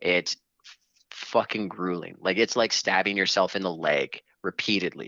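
A man's very deep, low voice holds fairly even intonation while moving at a moderate pace. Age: 30s. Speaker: video game fan. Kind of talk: casual chat.

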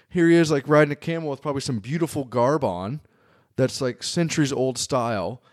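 On a very clean recording with a silent background, a man with a fairly high pitch and an unremarkable speaking voice talks at a fairly quick pace with ordinary pitch variation. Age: 40s. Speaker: photographer. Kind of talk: casual chat.

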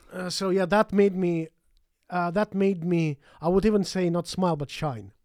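A high male voice with fairly even intonation at a moderate pace, dry and close with no echo. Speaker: podcast co-host. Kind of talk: casual chat. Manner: halting, with frequent fillers.

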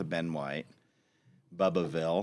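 A man with a Texan accent speaks at a very deep, low pitch. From Austin, Texas. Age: 40s. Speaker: advertising agency founder. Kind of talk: casual interview.

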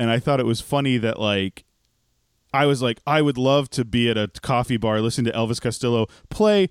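In an ordinary speaking voice, a man with an American accent talks at a fairly quick pace with medium pitch, ordinary pitch variation and very even loudness, in a dry, close sound with no echo. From Texas. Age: 30s. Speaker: podcast co-host. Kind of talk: casual chat. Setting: video call.

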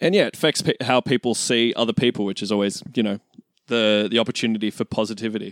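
A man with an Australian accent talks at a very fast pace. His pitch variation is ordinary. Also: medium pitch for a man, dry, close sound with no echo. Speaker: podcast co-host, guest. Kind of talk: casual chat.

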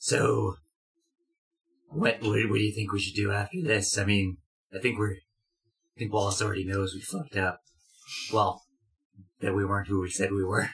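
A put-on character voice from a man, raspy and fairly low-pitched, at a moderate pace with long, frequent pauses. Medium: actual play. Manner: blunt, hasty.

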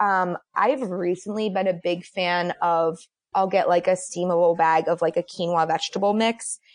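A woman with an American accent talks at a moderate pace in an ordinary speaking voice, her pitch medium and its variation ordinary. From Boston. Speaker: dietitian. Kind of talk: casual roundtable chat.

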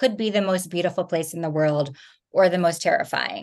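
A woman speaks at a medium pitch with an American accent. She has a plain, everyday voice with ordinary pitch variation. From New Jersey. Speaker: thriller novelist. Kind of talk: interview.

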